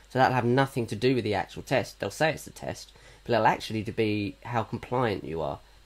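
A man's medium-pitched voice with vocal fry, ordinary pitch variation, and a very fast pace. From Norfolk, England. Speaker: podcast co-host. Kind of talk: casual chat.

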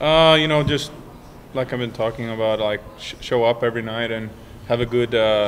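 A man is talking, and noticeable noise fills the background. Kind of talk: interview answer. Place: hall. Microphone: handheld.

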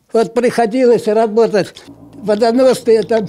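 A high-pitched man at a very slow pace, with ordinary pitch variation. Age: 80s+. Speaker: retired miner, war-era generation veteran of mining plant. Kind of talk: interview answer. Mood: cheerful, reminiscing. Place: meeting room. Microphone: handheld.

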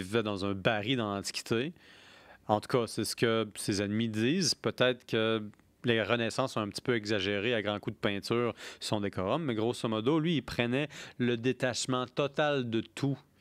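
The man talks at a fairly slow pace with ordinary pitch variation. The sound is dry with no echo, and the background is quiet. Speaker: podcast host on beer history and philosophy; podcast host on beer history. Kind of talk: casual chat. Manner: animated. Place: studio. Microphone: studio mic.

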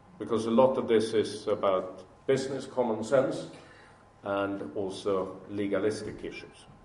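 Audible room echo surrounds a man at medium pitch who speaks at a fairly slow pace with ordinary pitch variation. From Sweden. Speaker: business executive; speaker. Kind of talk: speech to an audience. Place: hall. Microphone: podium.

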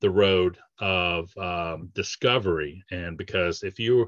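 A man speaks low, with a fairly bright tone and ordinary pitch variation.

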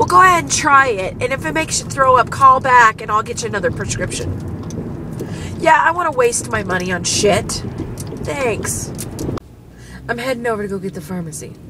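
A woman talks at a fairly quick pace in a dry sound with no echo. Background noise is noticeable. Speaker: vlogger. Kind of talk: casual vlog chat. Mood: annoyed, frustrated. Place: car. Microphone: phone near.

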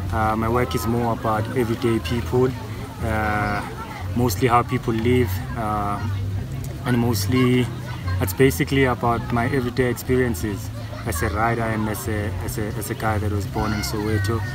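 Clear music plays in the background as a man talks at a moderate pace in dry sound with no echo. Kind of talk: interview answer. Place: garden.

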